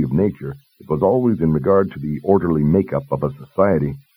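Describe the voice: A man speaks with a husky, rough edge and lively intonation. His pace is fairly quick.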